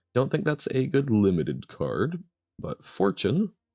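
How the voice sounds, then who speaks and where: A man's dark, mellow tone with vocal fry, in a dry, close sound with no echo. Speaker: game streamer. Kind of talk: casual live-stream commentary. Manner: casual, chatty.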